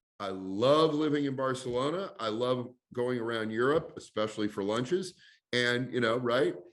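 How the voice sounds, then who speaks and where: With an American accent, a man talks at a moderate pace and medium pitch, his pitch varying in an ordinary way. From US Pacific Northwest, Portland, Oregon. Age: 60s. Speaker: basketball league executive. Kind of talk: interview.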